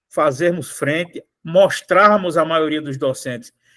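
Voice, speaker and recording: A man speaks at a fairly slow pace in an unremarkable speaking voice. His pitch is fairly high, with ordinary pitch variation. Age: 60s. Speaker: union federation president. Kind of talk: online union meeting talk.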